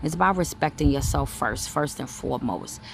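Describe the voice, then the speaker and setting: A woman's very deep, low-pitched voice at a fairly quick pace. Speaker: spiritual medium and intuitive reader. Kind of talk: inspirational talk. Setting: outdoors. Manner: conversational with many fillers.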